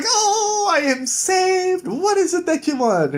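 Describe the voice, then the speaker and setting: A put-on character voice, squeaky and pitched extremely high. The delivery comes at a fairly slow pace. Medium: read story. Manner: formal, old-fashioned ladylike speech.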